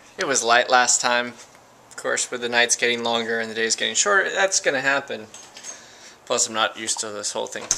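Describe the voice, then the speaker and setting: Over noticeable background noise, a man at medium pitch talks at a fairly quick pace with ordinary pitch variation. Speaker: vlogger. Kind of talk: casual vlog. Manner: halting, many false starts.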